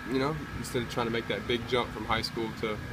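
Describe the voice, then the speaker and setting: Loud background noise runs behind a man speaking at a fairly quick pace. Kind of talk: interview answer. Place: stadium. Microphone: phone near.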